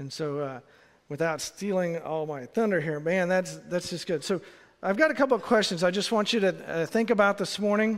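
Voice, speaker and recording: Recorded very cleanly against a silent background, a man talks at a high pitch with ordinary pitch variation. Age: 50s. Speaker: associate pastor. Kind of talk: sermon. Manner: halting, many fillers.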